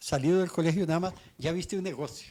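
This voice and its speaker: This man speaks with a high pitch. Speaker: radio host. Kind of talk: interview; promotional pitch.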